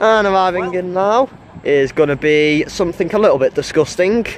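A man with a high pitch and ordinary pitch variation at a moderate pace, dry with no echo, amid light background noise. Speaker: trainspotting vlogger. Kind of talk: casual vlog commentary. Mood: enthusiastic. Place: station.

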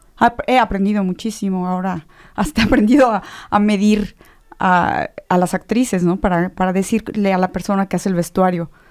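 In a Mexican accent, a woman speaks at a moderate pace with fairly even intonation against a quiet background. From Mexico. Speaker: theatre director and actress; actress. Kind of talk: radio interview. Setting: radio studio. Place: studio. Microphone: studio mic.

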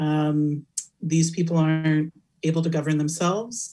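A somewhat breathy woman's voice with an American accent and a dark, mellow tone, against a quiet background. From California. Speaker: academic researcher and keynote speaker; keynote speaker. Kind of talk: Q&A interview after keynote lecture. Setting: virtual conference. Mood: thoughtful, earnest. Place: home room. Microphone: webcam.

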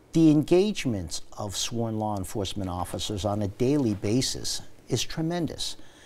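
Speaking at a moderate pace, a man with an American accent talks at a fairly low pitch. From New York City. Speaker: police commissioner; guest. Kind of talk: interview. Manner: halting. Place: studio. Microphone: lapel.

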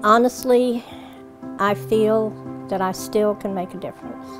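Over clear music in the background, a woman talks at a moderate pace with long, frequent pauses. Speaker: prison supply coordinator. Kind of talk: interview answer. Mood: sincere, warm conviction. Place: shop. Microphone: lapel.

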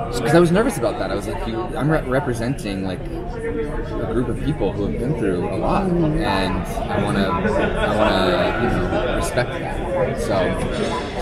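Crowd noise fills the background as a man talks with hardly any pauses. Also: moderate pace. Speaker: actor being interviewed. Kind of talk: interview answer. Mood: earnest, reflective. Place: hall. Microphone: phone near.

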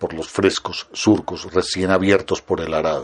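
A man speaks in a calm tone with a Colombian accent. His pitch is very deep and low. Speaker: audiobook narrator. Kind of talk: literary audiobook reading, read aloud from a written article. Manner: slow, measured, calm and reflective; formal, expressive narration.

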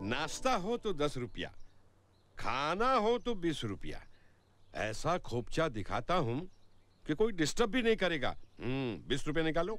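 Very slowly, with long, frequent pauses, a man speaks in vocal fry with very wide pitch swings, the sound dry with no echo. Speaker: comic policeman character in a film. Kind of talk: acted film dialogue, comic. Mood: teasing, jovial. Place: garden.

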